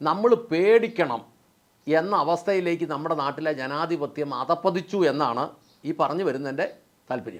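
With ordinary pitch variation, a man speaks in a fairly high voice. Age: 50s. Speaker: YouTube political commentator. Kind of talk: monologue to camera. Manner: impassioned.

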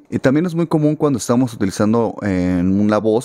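The man's tone is dark and mellow, at a medium pitch with lively intonation. He talks at a fairly quick pace, the sound dry with no echo. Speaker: musician and audio/guitar teacher; guitar teacher. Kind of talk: tutorial. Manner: casual, conversational. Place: studio. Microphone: studio mic.

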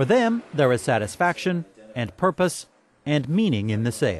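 The pace is moderate. The pitch makes big pitch swings. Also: man.

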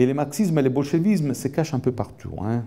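A man's voice has a dark, mellow tone and a fairly high pitch. His pitch swings very widely. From Italy. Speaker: economics professor. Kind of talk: lecture. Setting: lecture hall with audience. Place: hall. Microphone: handheld.

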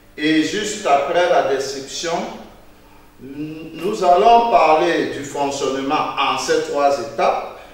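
Heavy room echo surrounds a man talking at a very slow pace. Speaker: teacher. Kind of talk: lecture. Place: classroom.

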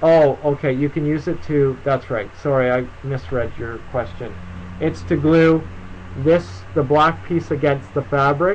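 A man's lively intonation at a fairly slow pace, over light background noise. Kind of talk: live stream Q&A tutorial. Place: home room. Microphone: webcam.

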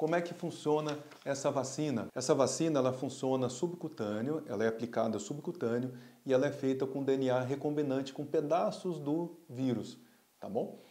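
A man talks in a dark, mellow tone at a fairly high pitch, keeping a moderate pace and ordinary pitch variation. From Brazil. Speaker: pediatrician and pulmonologist doctor. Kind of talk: health explainer video. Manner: casual, conversational. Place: office. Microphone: lapel.

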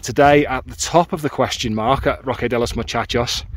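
There is light background noise and a dry sound with no echo. A man speaks at a moderate pace. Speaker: hiking vlogger. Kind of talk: casual vlog chat. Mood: enthusiastic, relaxed. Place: open country. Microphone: phone near.

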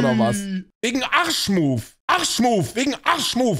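A man's voice at a fairly quick pace. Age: 30s. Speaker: streamer reacting to videos. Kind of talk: livestream reaction commentary. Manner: animated. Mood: mocking, incredulous. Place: home room. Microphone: studio mic.

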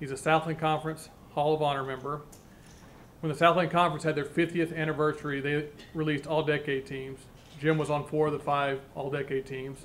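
Over light background noise, a man talks at a fairly quick pace in a fairly high voice with monotone, flat intonation. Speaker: university athletics official. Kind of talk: formal introduction. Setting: press conference room with media. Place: meeting room.

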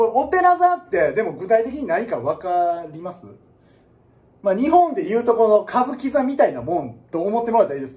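Animated and fairly quick, a man with a Kansai accent talks at an extremely high pitch, with very wide pitch swings and big swings in loudness. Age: 30s. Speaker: piano teacher. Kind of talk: casual lecture. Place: classroom. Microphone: phone near.

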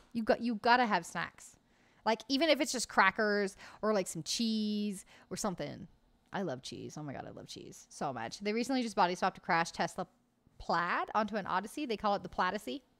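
Vocal fry and an animated tone mark this fairly quick delivery in an American accent, with lively intonation and big swings in loudness. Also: woman, medium pitch for a woman. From US, Oklahoma. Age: 20s. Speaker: gaming streamer. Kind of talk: casual chat with live chat viewers. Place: home room. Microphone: studio mic.

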